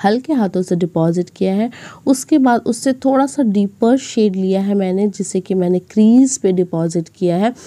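With hardly any pauses, a woman talks in a dark, mellow tone at medium pitch, her pitch varying in an ordinary way. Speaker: beauty vlogger. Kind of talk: tutorial.

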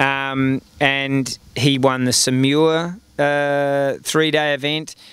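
Fairly even intonation marks this man's voice, heard with a dry sound and no echo. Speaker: interviewee. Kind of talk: interview answer. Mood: fond, reminiscing. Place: stadium. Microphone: handheld.

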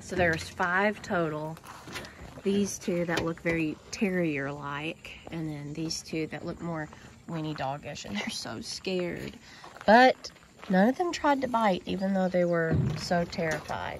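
A woman's fairly low voice at a fairly slow pace, dry with no echo, over noticeable background noise. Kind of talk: casual vlog chat. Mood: gentle, soothing. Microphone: phone near.

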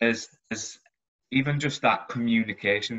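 The background stays quiet. A man speaks at a moderate pace. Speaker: recruitment manager; presenter. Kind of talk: presentation. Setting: video call. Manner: halting, many fillers and repetitions. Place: home room. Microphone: video call.

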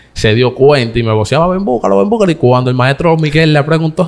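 Intonation lively, a man speaks at a very fast pace. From Dominican Republic, San Isidro, Santo Domingo Este; Dominican Republic. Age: 20s. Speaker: comedian. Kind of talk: interview. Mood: earnest, emotional at times. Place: studio. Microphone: studio mic.

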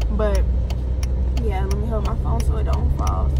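The voice moves at a moderate pace, and the sound is dry with no echo despite loud background noise. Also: woman. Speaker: hair braider vlogger. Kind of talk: casual vlog chat. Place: car. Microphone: phone near.

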